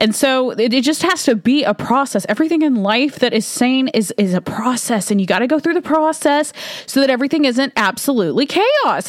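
A woman's lively intonation and moderate pace come through over noticeable background noise. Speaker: podcast host. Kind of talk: solo opinion monologue. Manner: casual, filler-heavy, conversational.

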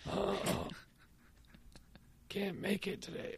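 A raspy, put-on character voice at a middle pitch comes through over clear background noise.

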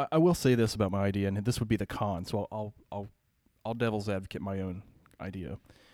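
A man with an American accent talks at a very fast pace and a fairly low pitch, with ordinary pitch variation. The recording is very clean with a silent background and a dry, close sound with no echo. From Ohio and Pennsylvania. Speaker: city services worker. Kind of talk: casual chat.

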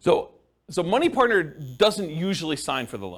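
A man with vocal fry at a very fast pace, in a very clean recording with a silent background. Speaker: real estate investing instructor. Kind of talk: lecture. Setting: live class with audience.

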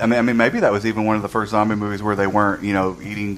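a normal speaking voice, its intonation fairly even. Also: man. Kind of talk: casual chat.

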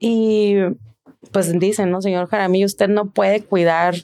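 A woman talks at a fairly slow pace with a medium pitch and a dark, mellow tone. Her intonation is monotone and flat. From Mexico, Tijuana. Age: 40s. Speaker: physician. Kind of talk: personal testimony in an interview.

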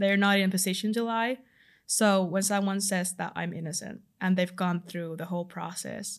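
On a very clean recording with a silent background, a woman with a Finnish accent talks at a moderate pace and medium pitch in a monotone, flat intonation. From Finland. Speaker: law student volunteer. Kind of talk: interview.

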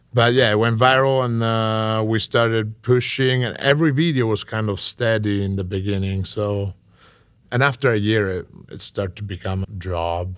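A moderate-paced voice with an Italian accent and ordinary pitch variation, in a very clean recording with a silent background. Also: man, fairly low pitch for a man. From Italy. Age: 20s. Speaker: chef and food content creator. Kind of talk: casual interview chat. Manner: halting.

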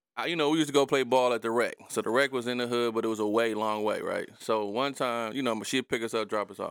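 A man at medium pitch talks at a very fast pace with hardly any pauses and fairly even intonation. The recording is very clean, with a silent background. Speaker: podcast host. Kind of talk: casual chat.

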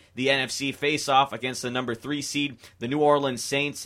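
An upbeat, energetic, bright, sharp tone at a moderate pace. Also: man. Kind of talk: college radio sports talk show, live DJ patter with station IDs and phone-line plugs. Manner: upbeat, breezy, chatty, energetic broadcaster delivery.

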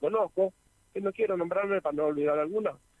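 A man's high-pitched voice with ordinary pitch variation, dry and close with no echo. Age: 60s. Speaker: yerba mate farmer. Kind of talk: radio interview.

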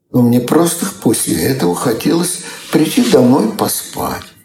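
Audible room echo surrounds the man's voice as he talks. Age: 80s+. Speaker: retired Soviet computer engineer. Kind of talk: interview storytelling. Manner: halting.

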